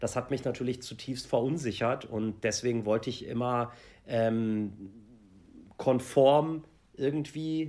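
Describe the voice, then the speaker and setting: Pausing long and often, a man speaks fairly slowly at a medium pitch with lively intonation. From Germany. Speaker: celebrity TV reporter. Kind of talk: interview. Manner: halting.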